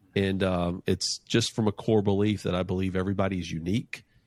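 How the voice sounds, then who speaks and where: The recording is very clean, with a silent background. A man with a very deep, low pitch speaks at a fairly quick pace using fairly even intonation. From North Carolina, US South. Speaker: financial planner and entrepreneur. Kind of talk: podcast interview. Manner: casual, with frequent fillers and restarts.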